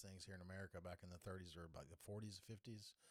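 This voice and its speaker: A man's very deep, low voice in a Southern US accent, at a very fast pace with ordinary pitch variation. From North Carolina, US South. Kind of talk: casual political podcast talk to camera. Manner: casual, hesitant, with many fillers.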